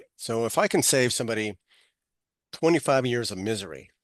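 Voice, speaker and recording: Against a quiet background, the speaker talks at a moderate pace in an American accent with ordinary pitch variation. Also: man. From Texas, Amarillo. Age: 60s. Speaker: author and speaker, navy veteran. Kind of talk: podcast interview.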